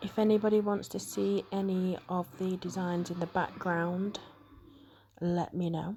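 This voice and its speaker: Soft-spoken and somewhat breathy, a woman with a British accent speaks at a fairly slow pace in a dark, mellow tone of medium pitch, her intonation monotone and flat. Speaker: nail art creator. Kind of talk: tutorial voiceover. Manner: quiet, soft-spoken.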